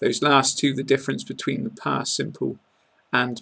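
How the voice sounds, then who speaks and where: A man speaks with a British accent. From England. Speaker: English pronunciation teacher. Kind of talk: tutorial. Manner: clear, deliberate enunciation.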